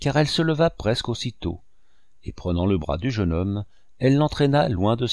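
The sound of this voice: An unforced reading voice with lively intonation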